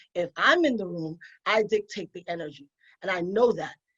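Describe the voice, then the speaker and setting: With a New York accent, a woman speaks at a medium pitch and moderate pace, with ordinary pitch variation in a dry, close sound with no echo. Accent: New York (Bronx). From New York, the Bronx. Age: 40s. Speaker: attorney and podcast host. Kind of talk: panel discussion.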